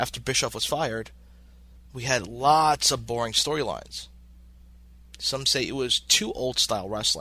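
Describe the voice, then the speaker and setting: A man with an American accent talks at a moderate pace with long, frequent pauses, on a very clean recording with a silent background. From New York City (Brooklyn). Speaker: wrestling podcast host and ring announcer. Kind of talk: scripted narration.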